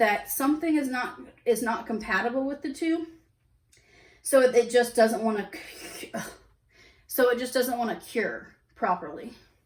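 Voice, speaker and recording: A woman puts on a raspy character voice at a high pitch, talking at a moderate pace with long, frequent pauses. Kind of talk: casual, conversational. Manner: stuttering, hesitant.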